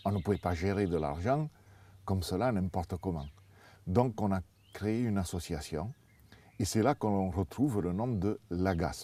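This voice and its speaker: In a southern French accent, a man speaks at a fairly slow pace with long, frequent pauses, his very deep, low voice dark and mellow with ordinary pitch variation. The recording is very clean, with a silent background. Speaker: parents' association co-founder. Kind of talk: interview answer.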